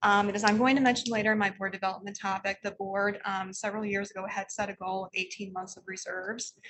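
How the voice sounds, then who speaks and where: A woman speaks at a medium pitch, very fast and with hardly any pauses, in a flat monotone. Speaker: library system finance officer. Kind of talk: financial report at board meeting. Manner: soft-spoken; hesitant with frequent um fillers.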